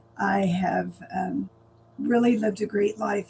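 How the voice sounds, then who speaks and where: Noticeable background noise sits behind the clip. A woman speaks at a fairly slow pace. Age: 60s. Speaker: lifestyle vlogger. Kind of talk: casual vlog monologue. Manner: hesitant, many fillers.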